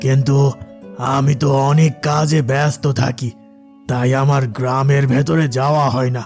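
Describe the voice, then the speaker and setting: Clear music plays in the background as a man performs a cartoonish character voice at a medium pitch. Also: moderate pace. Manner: patronizing, uses familiar address to inferiors.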